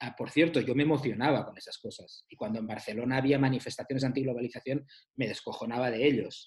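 Fast and somewhat breathy, a man speaks at a very fast pace with medium pitch. His intonation stays fairly even while his loudness swings widely. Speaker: author discussing his book about the 90s. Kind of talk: casual chat.

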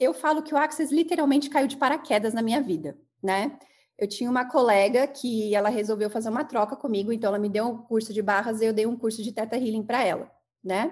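In a plain, everyday voice, a woman speaks fairly quickly at a fairly high pitch with ordinary pitch variation. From São Bernardo do Campo, São Paulo, Brazil. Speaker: therapist, former athlete. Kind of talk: interview.

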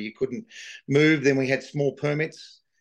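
A man speaks with an Australian accent at a moderate pace. His pitch sits fairly high, and his intonation stays fairly even. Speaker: livestock agent and horse sale organiser. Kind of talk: interview. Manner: halting, with many fillers; passionate.

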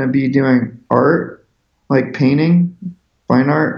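The speaker has an American accent and a fairly even intonation. The pace is very slow. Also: man. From US Pacific Northwest, Seattle. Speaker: visual artist. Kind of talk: casual interview. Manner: halting, many fillers.

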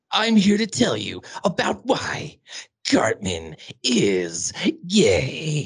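Putting on a character voice, a man speaks at a very slow pace in a fairly high pitch, with very wide pitch swings and long, frequent pauses. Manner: conspiratorial, dramatic.

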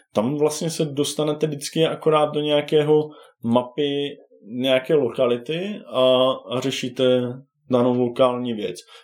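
A man's unremarkable speaking voice, fairly high and fairly even in intonation, at a fairly slow pace. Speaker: board game enthusiast. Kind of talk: casual chat.

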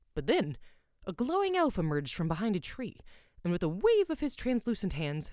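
In an animated, playful tone, a woman talks at a fairly quick pace with very wide pitch swings. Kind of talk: dramatic fantasy audiobook narration. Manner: animated, action-driven storyteller pacing, playful and vivid; intimate first-person storyteller voice, shifting into character voices.

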